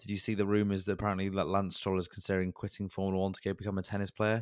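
A man with a British accent speaks at a very fast pace in a fairly low pitch. The recording is very clean, with a silent background. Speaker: podcast co-host. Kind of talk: casual chat.

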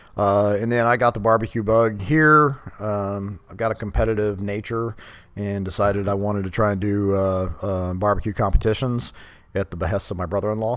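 With a Texan accent, a man of fairly low pitch speaks at a fairly quick pace with fairly even intonation. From Texas, Katy near Houston. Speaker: barbecue restaurant owner and army veteran. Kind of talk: casual interview.

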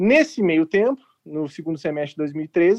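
At a moderate pace, a man speaks in a high voice, the sound dry and close with no echo. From southern Brazil, Porto Alegre. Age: 40s. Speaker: healthcare entrepreneur. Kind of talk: casual panel discussion.

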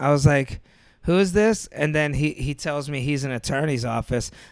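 Someone talks at a very fast pace on a very clean recording with a silent background. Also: man. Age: 30s. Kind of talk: casual chat. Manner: animated.

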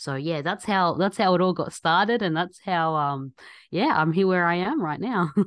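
A woman with an Australian accent, fairly low pitch, ordinary pitch variation and a moderate pace. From Australia, Egyptian family. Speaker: doctor, scientist and podcaster. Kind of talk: casual interview chat. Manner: halting.

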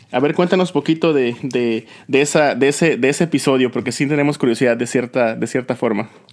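A man's normal speaking voice at medium pitch, at a fairly quick pace with ordinary pitch variation and hardly any pauses, on a very clean recording with a silent background. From Yucatán, Mexico. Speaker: podcast host. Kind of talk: casual interview chat.

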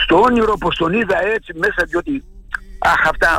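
At a moderate pace, a man talks while noticeable background noise carries on. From Xanthi area, Thrace, Greece. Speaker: retired journalist and author. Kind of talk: interview. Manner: halting.

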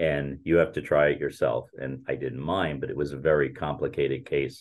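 With an American accent, a man talks at a moderate pace, vocal fry running through his voice. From northeastern New Jersey (Weehawken). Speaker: lawyer, former Marine. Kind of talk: interview.

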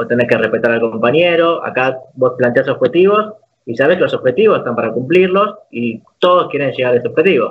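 The man's high voice moves at a fairly quick clip. Its pitch rises and falls very widely. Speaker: esports player. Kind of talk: casual interview.

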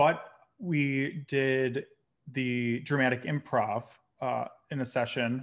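A man's plain, everyday voice, medium in pitch, with fairly even intonation over a quiet background. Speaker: podcast host. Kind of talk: casual interview conversation.

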